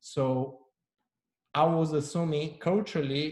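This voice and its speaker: A man talks in a somewhat breathy voice. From Brazil, Rio de Janeiro. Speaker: panel host, brand marketer. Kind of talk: panel discussion.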